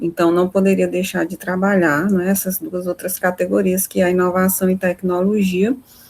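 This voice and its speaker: The delivery runs at a moderate pace with hardly any pauses and a monotone, flat intonation. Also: woman, medium pitch for a woman. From Maranhão, Brazil (Imperatriz). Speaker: course instructor. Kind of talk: online lecture.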